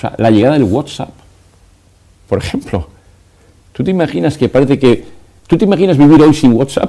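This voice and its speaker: Speaking at a fairly quick pace with long, frequent pauses, a man uses a fairly high pitch and a dark, mellow tone marked by vocal fry. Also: lively intonation. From Spain. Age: 60s. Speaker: educator. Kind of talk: TV interview.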